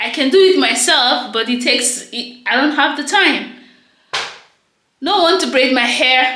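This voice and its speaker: A woman with a Nigerian accent speaks in a raised, projected voice at a high pitch and a moderate pace, with audible room echo. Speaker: vlogger. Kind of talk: casual vlog talk to camera. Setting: at home, in her bathroom. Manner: loud.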